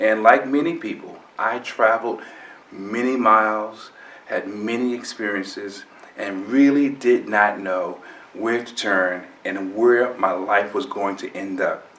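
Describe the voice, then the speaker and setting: A man speaks at a fairly slow pace in a medium pitch with fairly even intonation and big swings in loudness. Noticeable background noise is present. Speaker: motivational speaker. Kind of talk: infomercial introduction to camera.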